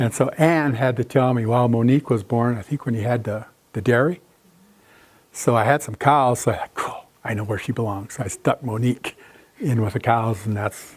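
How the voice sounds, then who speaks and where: With an American accent, a man speaks in a normal speaking voice at a medium pitch, moderate pace and fairly even intonation. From South Dakota, US. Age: 60s. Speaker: artist. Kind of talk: lecture with audience Q&A. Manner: casual, conversational.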